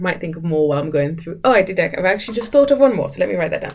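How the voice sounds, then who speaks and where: A woman talks in a normal speaking voice at a medium pitch. Her intonation is lively. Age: 30s. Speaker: content creator / podcaster. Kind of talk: casual solo talk.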